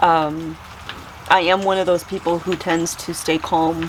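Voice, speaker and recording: Noticeable noise sits behind a woman who speaks very slowly in a fairly low, monotone, flat voice. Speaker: homesteading vlogger. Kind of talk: casual chat. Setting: greenhouse during a storm. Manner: calm and even-keeled.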